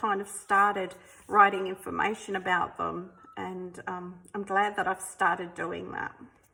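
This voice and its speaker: In an Australian accent, a woman speaks at a medium pitch with a bright, sharp tone. She goes at a fairly slow pace. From South Australia. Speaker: artist. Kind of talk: sketchbook flip-through. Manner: casual, hesitant with many ums.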